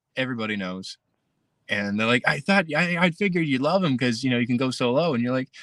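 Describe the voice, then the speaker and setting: A man with an American accent at a very fast pace, lively intonation, and a dry, close sound with no echo over a quiet background. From Pennsylvania (Hazleton). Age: 20s. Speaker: country singer-songwriter. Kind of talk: interview. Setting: live stream interview. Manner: halting, many fillers and repeats.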